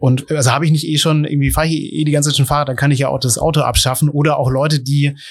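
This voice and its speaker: A man speaks very fast in a fairly high pitch. His intonation is monotone and flat, with noticeable background noise. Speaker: podcast host. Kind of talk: interview. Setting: ice cream café. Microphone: poor sound quality.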